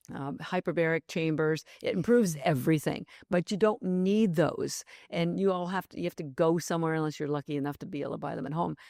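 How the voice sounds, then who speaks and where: A woman speaks very fast at a fairly low pitch, her dark, mellow tone carrying ordinary pitch variation in a dry, close sound with no echo on a very clean recording with a silent background. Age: 60s. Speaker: entrepreneur. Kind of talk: interview. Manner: animated; halting.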